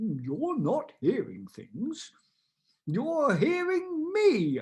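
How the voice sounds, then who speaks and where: In a put-on character voice, the fairly high-pitched speech goes at a very slow pace. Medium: read story. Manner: calm, measured.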